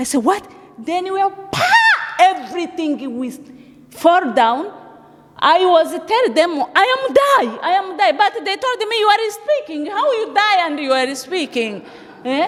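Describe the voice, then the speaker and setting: Noticeable background noise surrounds a woman with an extremely high pitch. She speaks fairly slowly, with very wide pitch swings. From Africa. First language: not English. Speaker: refugee giving testimony. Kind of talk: testimony. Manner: halting.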